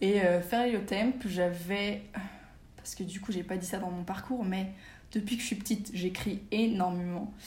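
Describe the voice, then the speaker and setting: A woman with a medium-pitched, somewhat breathy voice speaks at a fairly slow pace. Her intonation is fairly even, with audible room echo. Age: 20s. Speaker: magazine founder. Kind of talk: casual interview.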